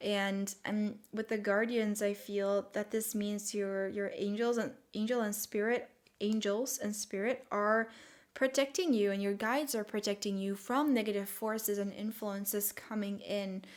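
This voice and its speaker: A woman with a non-native accent speaks at a fairly slow pace in a medium pitch with fairly even intonation, recorded very cleanly against a silent background. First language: not English. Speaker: tarot reader. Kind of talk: tarot reading monologue. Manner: hesitant, many fillers.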